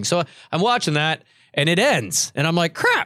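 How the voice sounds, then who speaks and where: On a very clean recording with a silent background, a man with a Canadian accent speaks in a fairly high pitch with lively intonation. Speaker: podcast host. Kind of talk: casual chat. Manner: loud; jokey, laughs often.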